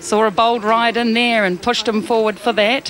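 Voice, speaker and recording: Against noticeable background noise, the words come at a fairly quick pace. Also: woman. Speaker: TV sports presenter. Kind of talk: live sports commentary.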